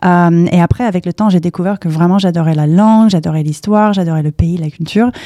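A woman with an English accent, fairly low in pitch, fairly even intonation, and hardly any pauses. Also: fairly quick pace. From US, Palo Alto, California. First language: English (speaking French). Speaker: startup campus director. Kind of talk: interview. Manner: halting.

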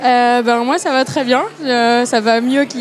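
There is noticeable background noise behind this woman. She has a high pitch and ordinary pitch variation. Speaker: podcast host. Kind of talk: casual chat. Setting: bar with patio.

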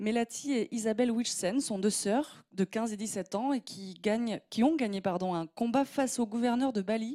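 A fairly slow woman's voice, fairly high in pitch with ordinary variation and a dark, mellow tone, on a very clean, dry, close recording without echo and with a silent background. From southwest France, Gironde countryside. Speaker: opinion columnist. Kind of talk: scripted opinion piece.

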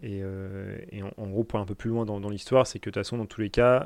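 Against a quiet background, a man speaks very fast. His fairly low voice keeps fairly even intonation. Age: 20s. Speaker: business owner. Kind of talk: interview. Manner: halting.

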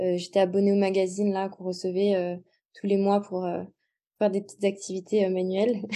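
A woman speaks with monotone, flat intonation at a medium pitch. Her tone is dark and mellow, and the background is quiet. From southern France (Montpellier). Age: 20s. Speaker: muralist and graphic designer. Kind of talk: interview.

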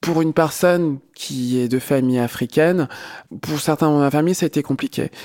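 A man's fairly high voice at a moderate pace, fairly even in intonation, with a dry, close sound and no echo. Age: 30s. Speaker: podcast interviewee. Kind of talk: personal testimony. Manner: halting, many fillers.

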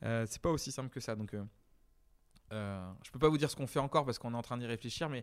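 Recorded very cleanly against a silent background, a man talks at a very fast pace and medium pitch with ordinary pitch variation, big swings in loudness, and long, frequent pauses. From western France, Deux-Sèvres. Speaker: head of digital at a theme park. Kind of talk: interview. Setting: on location at the park manor. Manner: hesitant, many fillers.

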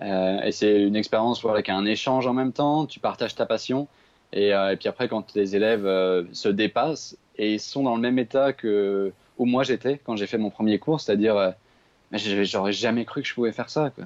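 A man speaks in a plain, everyday voice at a fairly low pitch, at a moderate pace with ordinary pitch variation against a quiet background. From Paris region, France. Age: 20s. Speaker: traveller. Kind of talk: casual chat.

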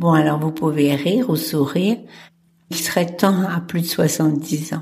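Here a woman speaks at a fairly slow pace. Her voice is somewhat breathy. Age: 70s. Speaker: podcast host. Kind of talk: solo podcast monologue.

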